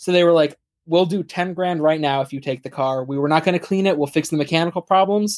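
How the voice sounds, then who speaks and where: Talking at a very fast pace, a man uses a fairly high pitch with fairly even intonation. The recording is very clean, with a silent background. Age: 20s. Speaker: car enthusiast and college student. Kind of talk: casual chat.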